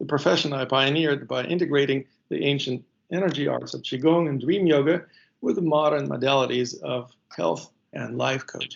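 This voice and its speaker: Speaking at a fairly quick pace, a man with a fairly high pitch shows vocal fry and ordinary pitch variation. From Ukraine. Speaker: qigong teacher. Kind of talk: interview.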